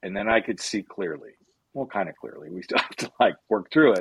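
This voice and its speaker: Talking at a moderate pace, a man has an unremarkable speaking voice with a fairly low pitch. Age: 50s. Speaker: life coach. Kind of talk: casual chat.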